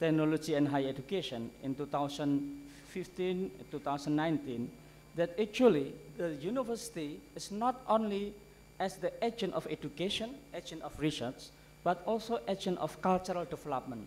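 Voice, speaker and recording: Lively in intonation and high in pitch, a man speaks at a moderate pace over light background noise. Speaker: conference keynote speaker. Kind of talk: lecture. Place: hall. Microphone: podium.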